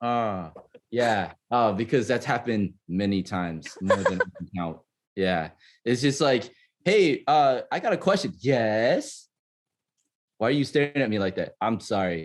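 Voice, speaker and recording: Loud and at a fairly slow pace, a man with a medium pitch makes very wide pitch swings against a quiet background. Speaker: podcast guest. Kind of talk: casual chat. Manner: halting.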